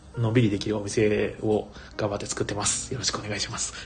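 A man with a fairly low voice talks amid noticeable background noise and audible echo from the room. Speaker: board game bar owner and radio host. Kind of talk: casual solo livestream talk.

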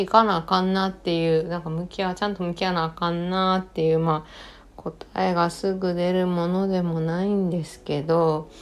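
A woman with a Kansai accent and a fairly low pitch, at a moderate pace with hardly any pauses. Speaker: podcast host. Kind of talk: solo podcast talk. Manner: languid.

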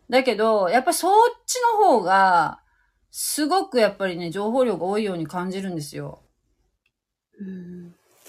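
With long, frequent pauses, a woman speaks at a medium pitch and a moderate pace using lively intonation. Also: big swings in loudness. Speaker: livestream host. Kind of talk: casual chat. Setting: online live audio stream.

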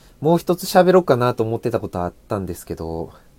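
A man's lively intonation at a moderate pace, with a dry, close sound and no echo. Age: 20s. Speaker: podcaster. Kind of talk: solo casual talk.

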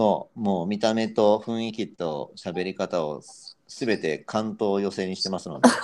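With big swings in loudness, a man speaks fairly slowly at a fairly low pitch and with ordinary pitch variation. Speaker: marketing and brand expert. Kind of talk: casual chat. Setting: live audio stream, remote collab.

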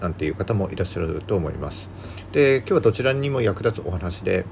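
Here a man speaks very fast in a somewhat breathy voice. His pitch varies in an ordinary way. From Japan, Yamagata countryside. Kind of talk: solo podcast talk, informational. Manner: frequent filler words.

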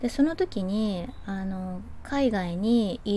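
A woman talks at a medium pitch with ordinary pitch variation. Music can be heard in the background. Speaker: podcast host. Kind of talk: casual monologue. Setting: outdoors on home terrace.

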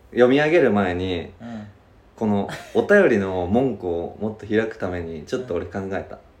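Audible room echo surrounds a man with a fairly low pitch who talks at a moderate pace, using ordinary pitch variation and big swings in loudness. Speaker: podcast co-host. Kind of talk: casual chat. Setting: rented studio space in Shibuya.

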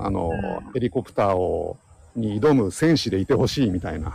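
Vocal fry and very wide pitch swings in a dry, close sound with no echo. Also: man. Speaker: science podcast host. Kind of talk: casual chat.

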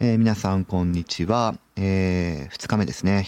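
With a very deep, low pitch and ordinary pitch variation, a man talks at a moderate pace in a dry, close sound with no echo. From Hokkaido, Sapporo. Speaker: youth worker. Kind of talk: solo podcast monologue. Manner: many fillers and hesitations.

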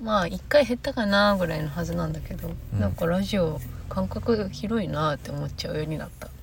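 A woman puts on a raspy, hoarse character voice at a fairly quick pace. Noticeable background noise runs underneath.

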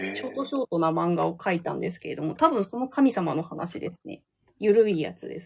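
Her pitch ranging very widely, a woman talks at a medium tempo. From Hokkaido, Japan. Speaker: manga artist. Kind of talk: casual chat.

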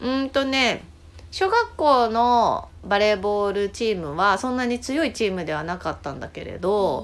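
With lively intonation, a woman speaks in a plain, everyday voice at a fairly high pitch and a moderate pace. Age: 40s. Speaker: podcast host, journaling guide. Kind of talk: casual chat.

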